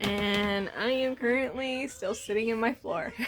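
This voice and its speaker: A woman with a high pitch and an American accent, speaking at a fairly slow pace amid noticeable background noise. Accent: country accent, comes out at times. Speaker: vlogger and mother. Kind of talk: casual home vlog.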